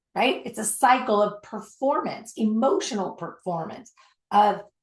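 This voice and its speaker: A woman's ordinary speaking voice, fairly high in pitch, with lively intonation and a fairly slow pace. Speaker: self-development coach. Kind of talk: online workshop. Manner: many fillers and repetitions.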